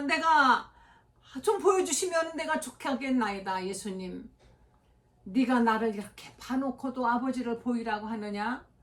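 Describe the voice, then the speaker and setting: Very wide pitch swings mark this fairly slow delivery, heard over noticeable background noise. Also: woman. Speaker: pastor. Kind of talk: sermon.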